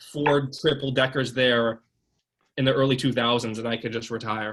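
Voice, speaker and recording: The speaker is a man with an American accent. His medium-pitched delivery stays monotone and flat. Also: moderate pace. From Connecticut, Manchester near Hartford. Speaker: chef. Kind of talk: casual chat during cooking tutorial.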